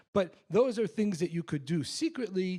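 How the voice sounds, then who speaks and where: A man's high-pitched, dark, mellow voice with an American accent at a moderate pace, in a very clean recording with a silent background. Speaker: sociology professor. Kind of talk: public talk Q&A. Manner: many filler words and restarts.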